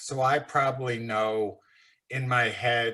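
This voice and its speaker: At a very slow pace, a man delivers monotone, flat intonation at a medium pitch with a bright, sharp tone. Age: 60s. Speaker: short seller, fund manager. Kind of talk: podcast interview. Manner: casual, blunt.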